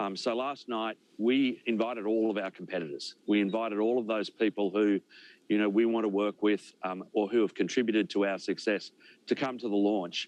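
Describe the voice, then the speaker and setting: A man with an Australian accent talks fairly quickly at a fairly low pitch with fairly even intonation. The sound is dry and close with no echo, and the background is quiet. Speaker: space company executive. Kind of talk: news interview.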